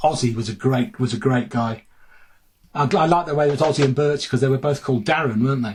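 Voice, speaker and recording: A man's somewhat breathy, medium-pitched voice at a very fast pace. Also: ordinary pitch variation. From Birmingham, England (Four Oaks). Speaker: music journalist and author. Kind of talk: casual chat.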